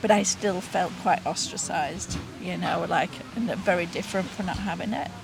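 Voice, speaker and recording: Over music in the background, a woman talks at a moderate pace with audible room echo. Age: 70s. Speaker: retired nurse. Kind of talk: interview testimony. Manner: halting, with many fillers.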